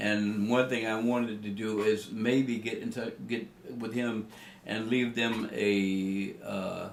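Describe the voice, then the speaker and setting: A man with a medium-pitched voice talks at a very slow pace in a monotone, flat intonation, with audible room echo. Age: 80s+. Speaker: elderly interviewee recounting school segregation. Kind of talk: oral history interview. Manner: halting, many fillers and restarts.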